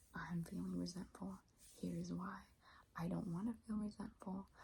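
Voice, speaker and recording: Soft-spoken and tired in tone, the speaker moves at a fairly slow pace. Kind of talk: advice script delivered to camera in a calm, reflective talk. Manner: tired, soft, hesitant with frequent filler words.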